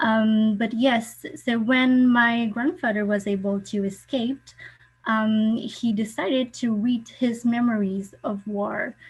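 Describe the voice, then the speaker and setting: A woman with a French accent talks in a fairly high, somewhat breathy voice with ordinary pitch variation. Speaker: participant sharing family refugee history. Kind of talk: online forum talk. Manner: halting.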